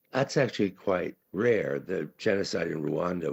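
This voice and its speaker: A man's voice with vocal fry, a moderate pace and ordinary pitch variation. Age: 70s. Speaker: conference speaker, writer. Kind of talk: conference talk. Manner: halting, many fillers.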